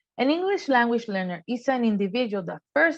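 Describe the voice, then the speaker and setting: Her intonation moves in a lively way. The woman has a non-native accent. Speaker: workforce development manager. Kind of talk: training presentation. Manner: measured, explanatory.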